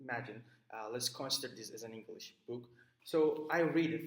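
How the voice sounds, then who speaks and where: A man speaks with a Turkish accent at a moderate pace. His pitch varies in an ordinary way. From Turkey. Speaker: student. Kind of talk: recorded class assignment talk. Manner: halting, many fillers.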